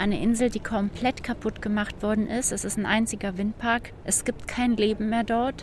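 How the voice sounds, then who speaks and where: Against noticeable background noise, a woman with a fairly high pitch talks at a moderate pace in a monotone, flat way, with hardly any pauses. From Germany. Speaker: citizen activist. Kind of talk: interview.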